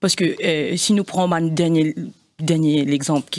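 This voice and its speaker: An unremarkable speaking voice goes at a moderate pace. The background is quiet. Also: woman. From Mauritius. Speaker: party executive member; guest. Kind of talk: political debate interview. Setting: studio. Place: studio. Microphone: studio mic.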